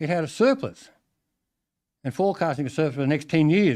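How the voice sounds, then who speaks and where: The voice has an Australian accent and ordinary pitch variation at a very fast pace. The background is quiet. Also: man. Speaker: farmer addressing council public forum. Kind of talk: public forum address.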